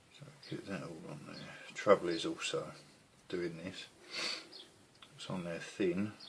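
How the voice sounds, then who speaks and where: Softly spoken and at a fairly slow pace, a man talks with long, frequent pauses and big swings in loudness, amid audible room echo and noticeable background noise. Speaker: scale model builder. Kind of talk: tutorial. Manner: soft-spoken.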